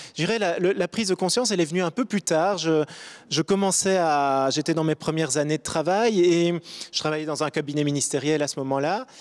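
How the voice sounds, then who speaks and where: Fairly high-pitched man at a fairly quick pace, with ordinary pitch variation and a dry, close sound with no echo. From Belgium, Brussels. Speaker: diplomat. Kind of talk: panel discussion. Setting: studio. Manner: halting.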